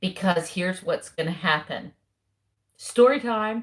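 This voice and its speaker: A woman speaks in a Southern US accent at a medium pitch. Her voice is somewhat breathy. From US South. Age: 50s. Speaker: keto lifestyle vlogger. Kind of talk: casual live stream chat. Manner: animated.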